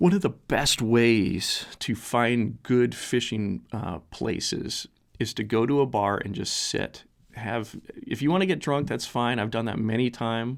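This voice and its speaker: A soft-spoken man on a very clean recording with a silent background. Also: medium pitch for a man, ordinary pitch variation, fairly slow pace. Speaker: fishing podcast host. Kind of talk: casual solo podcast talk. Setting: home basement studio. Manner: halting, many fillers.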